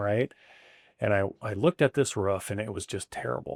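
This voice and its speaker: In an ordinary speaking voice, a man talks at a moderate pace with lively intonation. The recording is very clean and dry, close with no echo, over a silent background. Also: fairly low pitch for a man. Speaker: roofing company owner. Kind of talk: interview answer.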